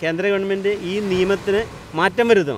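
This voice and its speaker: A man speaks at a high pitch with ordinary pitch variation. The sound is dry with no echo, over light background noise. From Kerala coast. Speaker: fisherman, land dispute victim. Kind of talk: interview. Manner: formal. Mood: earnest, aggrieved. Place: beach. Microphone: handheld.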